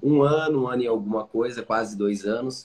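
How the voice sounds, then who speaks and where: With a normal speaking voice, this man delivers his words at a moderate pace. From Curitiba, southern Brazil. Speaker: podcaster and content creator. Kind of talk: casual interview chat.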